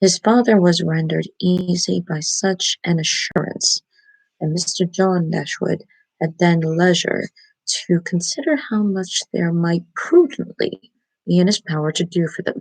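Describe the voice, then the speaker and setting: Quiet and somewhat breathy, a woman speaks at a fairly low pitch with a dry, close sound and no echo. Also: ordinary pitch variation, fairly slow pace. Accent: American. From United States (Baltimore, Maryland). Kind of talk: ASMR book reading, quiet bedtime reading. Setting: small bedroom, laptop mic, poor sound quality. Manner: quiet, hushed, low voice.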